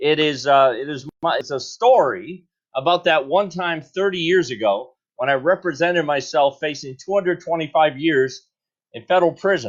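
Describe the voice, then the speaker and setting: Moderate pace and ordinary pitch variation. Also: man. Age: 60s. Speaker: political candidate and talk host. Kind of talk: live Q&A stream. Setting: live video stream. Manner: animated, jokey.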